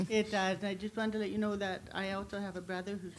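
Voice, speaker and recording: The room echo is audible. A woman speaks at medium pitch in a monotone, flat intonation. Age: 60s. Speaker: audience member and patient. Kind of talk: audience question. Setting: conference hall with audience. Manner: halting.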